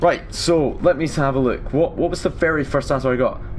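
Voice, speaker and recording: A man against noticeable background noise. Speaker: gaming streamer. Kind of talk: live gameplay stream commentary. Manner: casual, halting with fillers.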